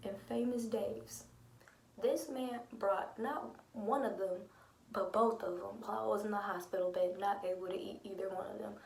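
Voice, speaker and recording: Noticeable background noise surrounds someone speaking softly. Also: woman, medium pitch for a woman, lively intonation, moderate pace. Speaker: lupus vlogger. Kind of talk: casual talk to camera. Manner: quiet, soft-spoken.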